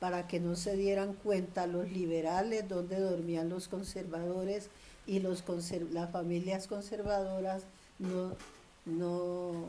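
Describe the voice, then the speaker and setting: Amid noticeable background noise and audible room echo, a woman speaks at a medium pitch and a very slow pace with monotone, flat intonation. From Colombia, Tolima (Ambalema). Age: 80s+. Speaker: grandmother interviewee. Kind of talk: oral history interview.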